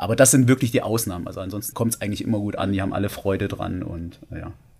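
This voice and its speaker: Very fast, somewhat breathy speech from a man with a fairly low pitch and ordinary pitch variation. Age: 30s. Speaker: male stripper. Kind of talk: casual chat.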